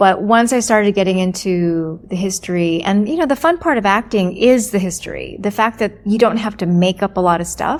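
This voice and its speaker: A woman with an American accent speaks in an unremarkable speaking voice, with hardly any pauses. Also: medium pitch for a woman, ordinary pitch variation, fairly quick pace. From US, Virginia Beach. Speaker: actor and director. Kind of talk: interview.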